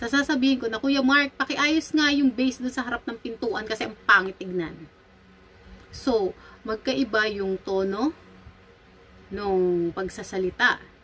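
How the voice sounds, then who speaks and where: Speaking at a fairly slow pace, a woman uses lively intonation at a fairly high pitch. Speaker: vlogger and medical esthetician. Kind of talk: commentary vlog. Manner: loud.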